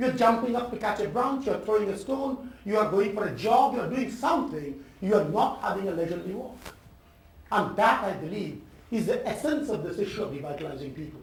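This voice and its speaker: Amid noticeable background noise and audible room echo, a man with an Indian accent talks at a fairly quick pace in a high pitch with lively intonation. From India, Calcutta. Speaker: professor. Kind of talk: talk to an audience.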